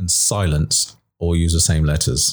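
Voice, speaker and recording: The delivery comes at a fairly slow pace on a very clean recording with a silent background. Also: man. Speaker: empowerment coach. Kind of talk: interview conversation. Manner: reflective.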